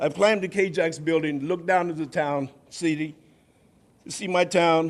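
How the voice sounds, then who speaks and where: Talking at a moderate pace, a man with an American accent uses a high pitch and ordinary pitch variation. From Stockton, California. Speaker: public commenter, former offender. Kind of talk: public comment at council meeting. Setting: city council meeting. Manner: impassioned.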